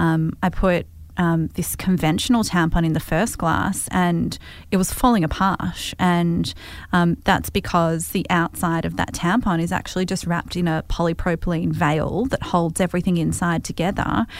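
In a very clean recording with a silent background, a woman with an Australian accent speaks at a moderate pace, her fairly low voice keeping a fairly even intonation. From Australia, Melbourne. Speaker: entrepreneur. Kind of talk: interview.

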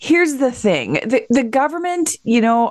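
A woman with a Canadian accent and a normal speaking voice, lively intonation and a moderate pace. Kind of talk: radio interview.

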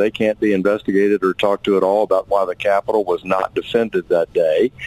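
Against noticeable background noise, a man with an American accent speaks at a fairly quick pace and with fairly even intonation. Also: dry, close sound with no echo. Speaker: congressman. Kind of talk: radio interview.

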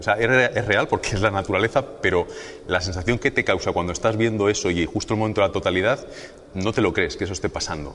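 Speaking at a fairly quick pace, a man has an ordinary speaking voice with a fairly low pitch. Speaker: physicist and weather presenter. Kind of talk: interview explanation.

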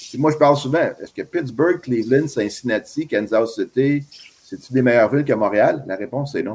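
A man at a medium pitch talks at a moderate pace with ordinary pitch variation, in an ordinary speaking voice. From Quebec. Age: 50s. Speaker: baseball scout. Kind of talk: interview.

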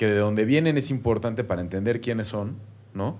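Fairly low in pitch, a man speaks in a dark, mellow tone with ordinary pitch variation. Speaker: podcast co-host. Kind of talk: casual chat. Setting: studio.

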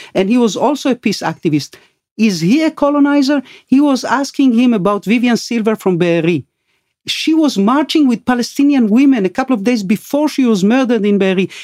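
A woman speaks at a high pitch and fairly quick pace, her tone dark and mellow with lively intonation. Her loudness stays very even, and the sound is dry and close with no echo. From Argentina. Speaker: investigative TV journalist. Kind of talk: interview conversation.

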